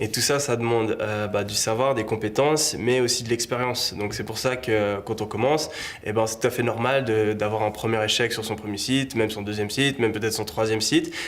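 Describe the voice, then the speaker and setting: Moving at a fairly quick pace with hardly any pauses, a man speaks with fairly even intonation over noticeable background noise. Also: medium pitch for a man. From Switzerland, Lausanne (Vaud). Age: 20s. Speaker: e-commerce entrepreneur. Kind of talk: interview. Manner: casual, hesitant with fillers.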